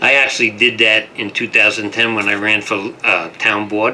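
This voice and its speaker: A man talks at a fairly quick pace with a medium pitch. His intonation is flat and monotone, and background noise is noticeable. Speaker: radio talk show host. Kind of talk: radio interview.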